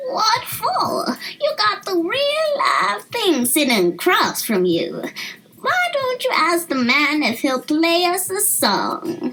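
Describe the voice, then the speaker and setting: In a put-on character voice, a woman squeaks at an extremely high pitch with very wide pitch swings, speaking very slowly at a very even loudness. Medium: read story. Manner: warm, folksy.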